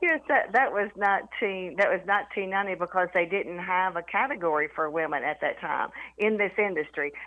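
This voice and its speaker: Talking at a fairly quick pace with hardly any pauses, a woman with a Southern accent uses a medium pitch and ordinary pitch variation. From US South, East Tennessee. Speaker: former company CEO. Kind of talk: interview.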